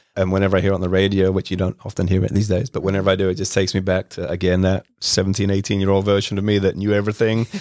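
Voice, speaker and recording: A man with a British accent, fairly low pitch, monotone, flat intonation, and a very fast pace with hardly any pauses. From England, west London. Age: 40s. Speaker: home care business owner. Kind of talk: casual interview. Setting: studio.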